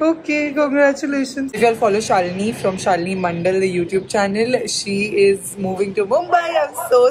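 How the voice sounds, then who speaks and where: A woman talking at a fairly quick pace over noticeable background noise. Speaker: vlogger. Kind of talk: casual vlog chat. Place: home room. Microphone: phone near.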